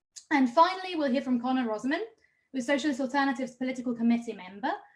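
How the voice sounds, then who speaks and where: A woman with an Israeli accent speaks at a high pitch with ordinary pitch variation. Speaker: activist rally host. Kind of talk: event introduction. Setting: online livestream.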